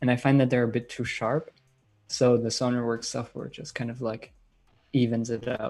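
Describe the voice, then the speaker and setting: A man with a slight German accent, monotone and flat, at a moderate pace with music in the background. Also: medium pitch for a man. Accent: light German accent in English. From Germany, Bayreuth in Bavaria. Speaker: electronic music producer and DJ. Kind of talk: live-stream Q&A. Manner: casual, many filler words.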